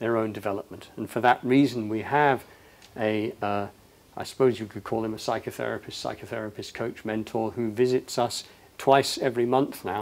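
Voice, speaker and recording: With an unremarkable speaking voice, a man talks at a moderate pace and with fairly even intonation on a very clean recording with a silent background. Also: medium pitch for a man. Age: 60s. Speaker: leadership speaker. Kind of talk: public talk.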